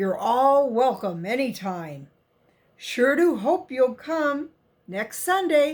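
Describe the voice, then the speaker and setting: Using a put-on character voice, a woman speaks at a very slow pace in a high pitch with a warm tone and very wide pitch swings. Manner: warm, welcoming.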